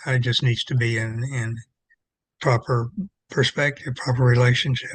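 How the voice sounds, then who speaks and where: Somewhat breathy, a man talks at a medium pitch with monotone, flat intonation. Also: moderate pace. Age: 80s+. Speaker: retired religion professor and clergy. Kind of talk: interview conversation. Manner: halting, many repetitions.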